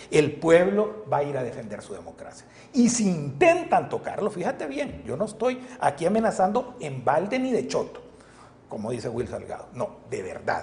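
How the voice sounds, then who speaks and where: An animated voice at a moderate pace, with big swings in loudness over noticeable background noise. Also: man. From El Salvador. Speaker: politician. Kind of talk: interview. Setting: studio.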